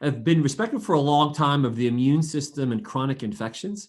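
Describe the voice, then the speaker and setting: The man's pitch sits fairly high, with ordinary variation. He talks at a fairly quick pace. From New Jersey. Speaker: physician. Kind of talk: podcast interview.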